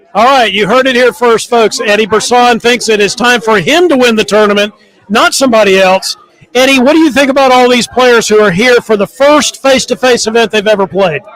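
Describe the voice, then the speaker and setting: With an American accent, a man speaks at an extremely high pitch and a fairly quick pace. His pitch varies in an ordinary way, and there is noticeable background noise. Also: very even loudness. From US South. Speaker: tournament reporter. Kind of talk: event interview. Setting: tournament dinner at a resort hotel.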